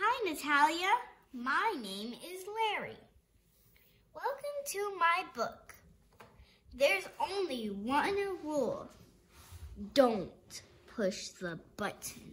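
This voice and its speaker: A woman puts on a character voice at an extremely high pitch, speaking very slowly with very wide pitch swings and long, frequent pauses. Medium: read story. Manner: playful, chatty.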